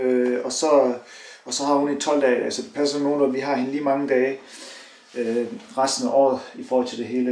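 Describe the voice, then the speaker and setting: Audible room echo, noticeable background noise, and a moderate pace. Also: man. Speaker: fitness vlogger and Hyrox athlete. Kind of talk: casual vlog. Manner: animated.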